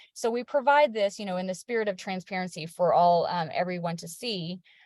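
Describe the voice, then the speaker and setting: A woman's somewhat breathy voice at a moderate pace, with ordinary pitch variation and a dry, close sound free of echo. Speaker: state savings program representative. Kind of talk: webinar presentation. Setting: video call.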